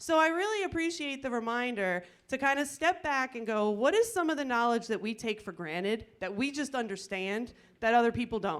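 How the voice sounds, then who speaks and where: With an American accent, a woman speaks at a high pitch and a fairly quick pace, her pitch swinging very widely on a very clean recording with a silent background. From New Jersey. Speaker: extension agronomist. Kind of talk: lecture. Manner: fast.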